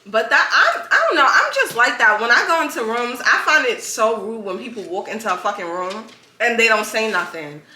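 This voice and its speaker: A woman at a fairly quick pace, animated in tone with lively intonation, amid audible room echo and noticeable background noise. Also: fairly high pitch for a woman. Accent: New York. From New York. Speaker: podcast host. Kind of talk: casual chat.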